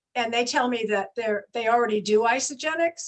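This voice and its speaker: A woman with a high pitch talks fairly quickly. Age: 70s. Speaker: health and wellness mentor. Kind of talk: podcast interview.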